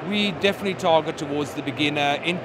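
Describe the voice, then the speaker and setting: A man's fairly high voice in a South African accent, at a fairly quick pace, over noticeable background noise. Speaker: ski resort representative. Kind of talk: interview. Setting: trade show stand. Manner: animated.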